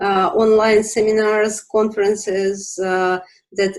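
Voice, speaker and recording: With a Russian accent, a woman speaks at a medium pitch. Her pace is very slow. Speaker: business organization representative. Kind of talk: interview. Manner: halting, many fillers.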